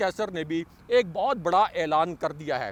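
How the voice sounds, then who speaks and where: A man's voice with lively intonation, dry and close with no echo. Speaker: news commentator. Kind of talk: news commentary.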